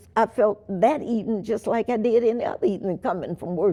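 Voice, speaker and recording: There is noticeable noise behind the voice. The woman speaking has a fairly high pitch. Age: 80s+. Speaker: witness of the civil rights era. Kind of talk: interview answer.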